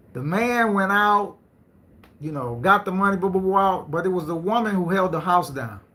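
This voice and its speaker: A man with a high, bright, sharp voice talks in an animated tone. Audible room echo surrounds him. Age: 50s. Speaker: live stream host. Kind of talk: live stream talk. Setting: live stream.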